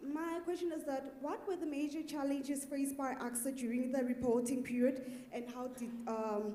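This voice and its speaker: A high-pitched woman talks at a moderate pace with ordinary pitch variation. The room echo is audible, and background noise is noticeable. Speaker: audience member asking a question. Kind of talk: audience question. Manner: soft-spoken.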